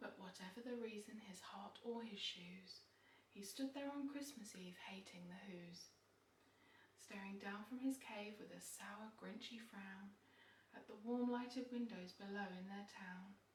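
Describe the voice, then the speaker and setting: Soft-spoken delivery at a fairly slow pace. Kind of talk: bedtime story reading.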